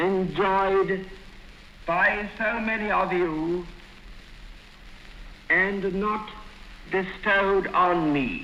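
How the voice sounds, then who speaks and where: Amid noticeable background noise, a man speaks in a raised, projected voice at a high pitch with fairly even intonation. His solemn delivery is very slow, with long, frequent pauses. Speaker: abdicating king delivering a radio address. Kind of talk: formal historical radio address. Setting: 1936 radio broadcast recording. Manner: formal, measured, solemn.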